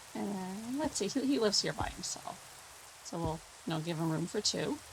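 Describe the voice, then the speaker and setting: A woman talks at a moderate pace in a relaxed tone and a medium pitch. Her voice makes very wide pitch swings. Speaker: gaming YouTuber. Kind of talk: gameplay commentary. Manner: relaxed, casual.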